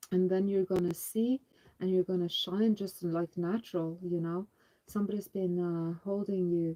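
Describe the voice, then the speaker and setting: Her tone dark and mellow, a woman speaks at a moderate pace and medium pitch in a monotone, flat intonation, recorded dry and close with no echo. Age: 50s. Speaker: homesteading channel co-host. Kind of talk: spiritual testimony of visions; casual live chat.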